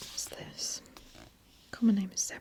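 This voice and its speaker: Noticeable background noise sits behind a woman's whisper. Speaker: ASMR creator. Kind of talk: ASMR whispered book browsing. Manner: whispered.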